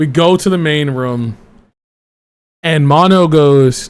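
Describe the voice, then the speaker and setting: A man with a fairly high pitch, an animated tone and ordinary pitch variation. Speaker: VTuber streamer. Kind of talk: casual chat.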